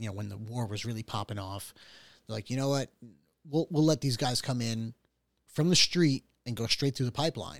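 A man talks at a fairly quick pace with medium pitch, ordinary pitch variation, and a plain, everyday voice. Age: 30s. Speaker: podcast host. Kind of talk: casual chat.

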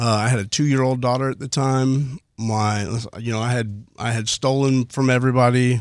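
In a very clean recording with a silent background, a man speaks at a moderate pace and a medium pitch, his intonation monotone and flat. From Houston, Texas (Spring area). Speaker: recovering addict sharing story. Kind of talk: testimony. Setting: studio.

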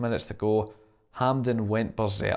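A man with a Scottish accent on a very clean recording with a silent background. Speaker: football podcast host. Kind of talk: scripted narration.

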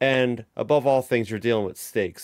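At a moderate pace, a man uses an unremarkable speaking voice at medium pitch with ordinary pitch variation, in a dry, close sound with no echo. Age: 30s. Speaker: podcast host. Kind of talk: casual chat.

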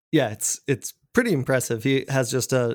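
A man with an American accent and an unremarkable speaking voice talks at a moderate pace, medium in pitch with fairly even intonation. The recording is very clean, with a silent background. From Colorado, small mountain town near Denver. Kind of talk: casual interview.

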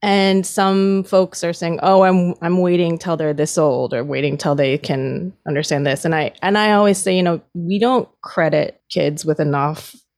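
Her voice is an ordinary speaking voice, a woman at fairly low pitch with ordinary pitch variation, moving at a moderate pace with hardly any pauses. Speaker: social worker and adoption advocate. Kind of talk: interview.

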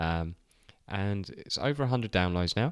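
A man with an English accent speaks fairly slowly and at a fairly low pitch in a very clean recording with a silent background. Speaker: podcast co-host. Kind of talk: casual chat.

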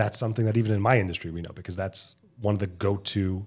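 A man speaks very fast in a fairly low pitch, his intonation fairly even. His voice is somewhat breathy. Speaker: podcast co-host. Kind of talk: casual chat.

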